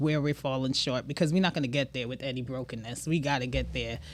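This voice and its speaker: This woman speaks in a Trinidadian accent. Her pitch is very deep and low. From Brooklyn, New York, Trinidadian household. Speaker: business owner. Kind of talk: casual chat. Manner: animated.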